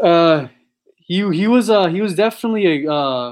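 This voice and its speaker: An ordinary speaking voice with an American accent, at a moderate pace with ordinary pitch variation, over a quiet background. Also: man. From San Diego, California. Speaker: online predator catcher, founder of activist group. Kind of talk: interview. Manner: casual, filler-heavy.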